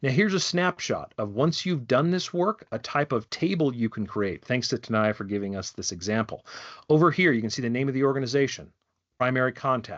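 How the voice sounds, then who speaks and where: Speaking at a fairly quick pace, a man uses medium pitch with very wide pitch swings. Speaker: wildlife program director giving a training. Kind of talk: online training presentation. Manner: fast.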